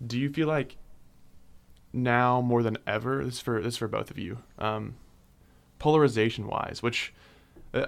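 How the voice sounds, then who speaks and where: On a very clean recording with a silent background, a man with an unremarkable speaking voice talks fairly quickly at a medium pitch, with ordinary pitch variation. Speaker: radio host. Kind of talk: casual interview discussion.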